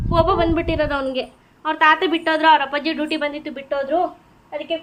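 A woman's high, monotone voice with flat intonation amid noticeable background noise. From Gangavathi, Karnataka. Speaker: vlogger. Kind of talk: casual vlog narration. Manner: talking to a child.

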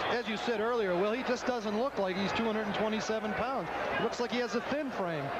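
A man talks at a moderate pace in a high voice, with ordinary pitch variation. His loudness stays very even, and there is noticeable background noise. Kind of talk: vintage college football radio/TV game commentary, with an ad break.

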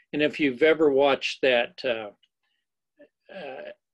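The man's fairly slow delivery carries fairly even intonation.

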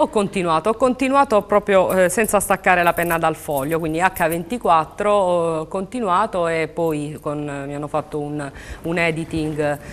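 A woman with an ordinary speaking voice talks at a fairly slow pace and a fairly low pitch, with ordinary pitch variation. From Taranto, Apulia, southern Italy; Apulia. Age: 30s. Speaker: novelist; guest. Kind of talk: TV interview. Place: studio. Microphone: lapel.

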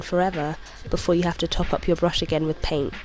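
With a British accent, a woman speaks at a fairly low pitch and fairly even intonation while music plays in the background. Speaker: artist, illustrator. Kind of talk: tutorial voice-over.

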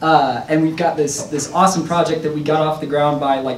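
This man talks at a fairly quick pace in a fairly high pitch. There is audible room echo and light background noise. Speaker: spoken word poet and rapper. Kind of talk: poetry reading. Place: hall. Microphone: podium.

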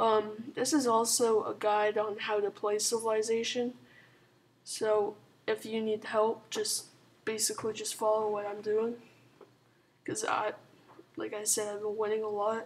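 A woman speaks quietly at a fairly slow pace and a fairly high pitch. Her intonation is monotone and flat, with long, frequent pauses. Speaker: gaming commentator. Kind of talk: gameplay commentary. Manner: casual, hesitant with fillers.

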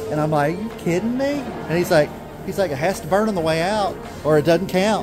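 A man keeps a moderate pace while clear music sounds in the background. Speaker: vlogger parent filming. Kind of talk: casual vlog chat. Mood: amused storytelling. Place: market.

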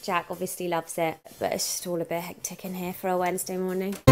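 A woman's voice over loud music in the background. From London. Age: 20s. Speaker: mum vlogger. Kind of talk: casual vlog talk to camera. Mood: cheerful, chatty. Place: home room. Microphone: phone near.

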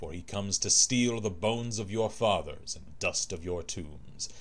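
With an unremarkable speaking voice, a man talks at a fairly slow pace, fairly low in pitch, with ordinary pitch variation. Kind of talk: scripted lore narration, reading in-game book aloud. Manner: solemn, formal, archaic phrasing; fervent, declamatory, rising to a fiery sermon-like tone.

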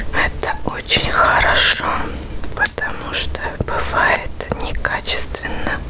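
Someone whispers at a very slow pace, leaving long, frequent pauses. Noticeable background noise runs underneath. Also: woman. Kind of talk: ASMR product review. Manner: whispered, soft, close.

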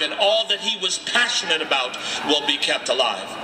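Background noise is noticeable here. Over it comes a man's voice. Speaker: pastor speaking at a rally. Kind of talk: rally speech. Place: street. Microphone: handheld.

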